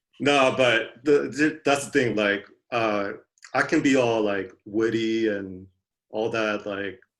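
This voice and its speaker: This man has a Californian accent and a medium pitch with ordinary variation. He talks at a very slow pace. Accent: Californian American English. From Southern California, with early childhood in Korea. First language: Korean. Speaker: gamer, podcast guest. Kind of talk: casual chat. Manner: halting, searches for words.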